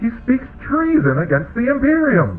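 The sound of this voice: A man shouting in a put-on character voice, with extremely high pitch, very wide pitch swings and a moderate pace, amid audible room echo and faint background music.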